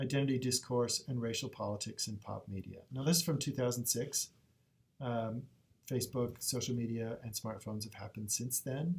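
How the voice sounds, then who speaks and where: A man speaks in a somewhat breathy voice. His pitch sits in the middle range. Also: ordinary pitch variation, fairly quick pace. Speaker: librarian. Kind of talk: tutorial. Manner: fast.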